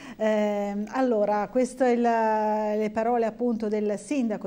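A woman with a dark, mellow tone speaks at a very slow pace with fairly even intonation. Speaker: TV news anchor. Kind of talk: live news broadcast. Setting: studio. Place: studio.

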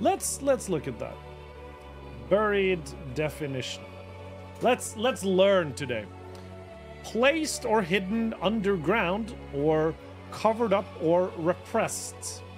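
A man speaking fairly slowly, long and frequent pauses, clear music in the background. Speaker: livestreamer. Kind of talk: casual stream chat. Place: home room. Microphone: studio mic.

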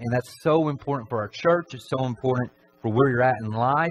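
At a moderate pace, a man talks with ordinary pitch variation over light background noise. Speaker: preacher. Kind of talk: sermon. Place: church.

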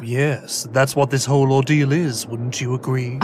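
Against clear background noise, a man speaks at a moderate pace and medium pitch. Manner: smug, condescending.

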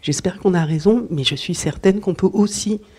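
At a moderate pace, a woman speaks with a dark, mellow tone and ordinary pitch variation. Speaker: children's author and illustrator. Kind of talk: talk at a literary event. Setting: book fair talk before an audience. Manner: hesitant, with fillers.

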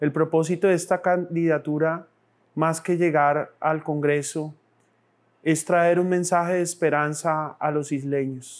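A man speaks in a monotone, flat intonation at a fairly high pitch. His pace is fairly slow and his loudness very even. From Colombia, born in Bogotá, raizal family from San Andrés; Colombia. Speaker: political candidate; candidate. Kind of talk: campaign speech. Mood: earnest, calm, faith-tinged. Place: studio. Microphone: lapel.

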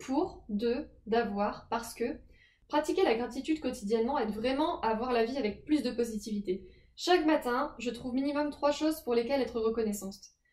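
A woman speaks at a high pitch. The background is quiet, with audible room echo. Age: 20s. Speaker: personal development youtuber. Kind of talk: advice talk to camera. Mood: calm, gentle.

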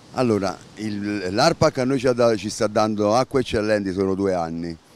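The speech moves at a moderate pace with ordinary pitch variation. The sound is dry with no echo. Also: man, fairly low pitch for a man. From Campania, Italy. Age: 60s. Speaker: beach club manager. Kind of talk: interview. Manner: halting. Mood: bitter, complaining appeal. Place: beach. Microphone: handheld.

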